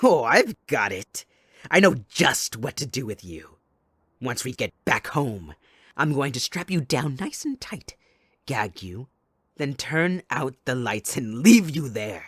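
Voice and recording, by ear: In a put-on character voice with a fairly bright tone and a slightly husky edge, the speaker goes slowly with big pitch swings, recorded very cleanly over a silent background. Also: man, medium pitch for a man.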